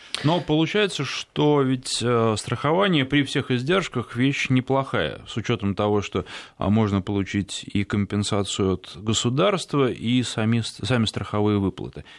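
Over a quiet background, a man with a plain, everyday voice talks at a moderate pace in a medium pitch, his intonation lively. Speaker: radio host. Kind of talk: radio interview.

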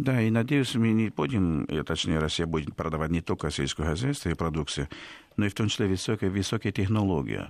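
This man has a very deep, low pitch and a Spanish accent, speaking at a fairly quick pace. His intonation is lively and his loudness very even. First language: Spanish (speaking Russian). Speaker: professor and institute director. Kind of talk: radio interview. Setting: studio. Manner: halting, with hesitations.

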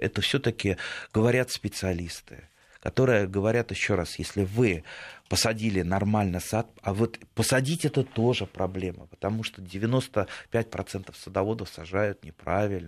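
At a moderate pace, a man talks in a fairly low pitch with ordinary pitch variation.

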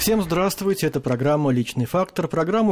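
This man's intonation is lively. He talks very fast. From Russia, Tver. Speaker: radio host. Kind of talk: interview. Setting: studio.

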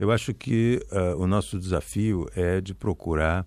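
Against a quiet background, a man speaks at a very slow pace with ordinary pitch variation. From Brazil, Rio de Janeiro. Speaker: ambassador. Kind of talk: radio interview. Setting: radio studio. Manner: calm, soothing.

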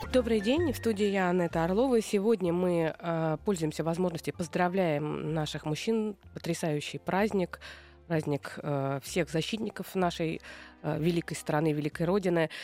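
A woman with ordinary pitch variation keeps a moderate pace while music plays in the background. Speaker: radio host and psychologist. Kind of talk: radio talk show with call-ins. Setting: radio studio. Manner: warm, upbeat.

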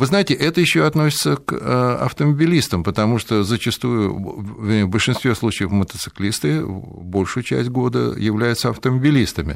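A man's voice with very wide pitch swings, very even loudness, and hardly any pauses. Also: medium pitch for a man, moderate pace. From Moscow. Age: old. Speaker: motorcycling expert. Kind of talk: radio discussion.

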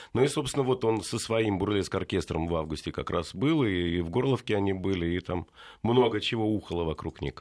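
A man's plain, everyday voice, fairly low in pitch and at a fairly quick pace, on a very clean recording with a silent background. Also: lively intonation. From Russia, Tula region. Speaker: poet and rock musician. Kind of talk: casual chat.

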